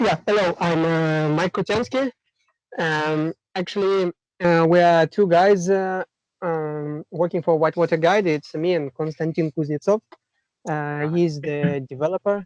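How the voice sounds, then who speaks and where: At a fairly slow pace, someone speaks with a Russian accent and ordinary pitch variation in a dry, close sound with no echo. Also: man, high pitch for a man. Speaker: kayaking app co-founder. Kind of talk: casual chat. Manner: halting.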